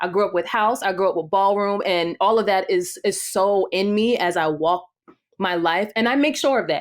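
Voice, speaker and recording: With an American accent, a woman speaks at a medium pitch and moderate pace, using ordinary pitch variation. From New Jersey, Jersey City. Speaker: singer and performer. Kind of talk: interview testimony.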